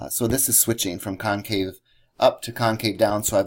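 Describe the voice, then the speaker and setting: A man talks at a moderate pace. He has an ordinary speaking voice. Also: very clean recording, silent background. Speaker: math teacher. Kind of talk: lecture.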